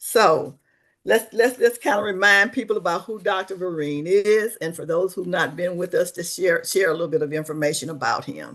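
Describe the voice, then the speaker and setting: Over a quiet background, the speech moves at a moderate pace with ordinary pitch variation. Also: woman. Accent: Mississippi. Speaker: webinar host, social service coordinator. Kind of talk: webinar presentation. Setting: online webinar.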